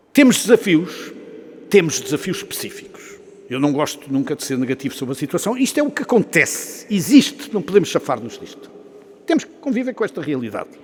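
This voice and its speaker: A man with a high pitch speaks at a fairly quick pace, his voice showing very wide pitch swings and big swings in loudness. There is noticeable background noise. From Portugal. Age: 60s. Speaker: business executive and professor, guest speaker. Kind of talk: after-lunch talk to an audience.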